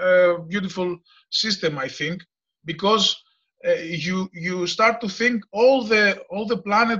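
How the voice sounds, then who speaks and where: A man with a Greek accent, high-pitched with a bright, sharp tone, moderate pace and long, frequent pauses. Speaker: farmer and former mechanical engineer. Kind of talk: discussion comment in a video meeting. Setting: video call. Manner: halting, many hesitations.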